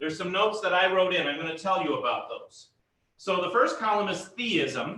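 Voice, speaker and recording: Here a man speaks in a raised, projected voice. Audible echo fills the room. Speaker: pastor teaching a Bible class. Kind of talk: lecture.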